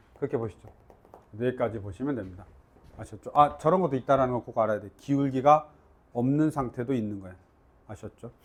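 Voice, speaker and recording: With long, frequent pauses and big swings in loudness, a man speaks at a fairly quick pace in a medium pitch with ordinary pitch variation. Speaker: math teacher. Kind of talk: lecture. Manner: casual, informal.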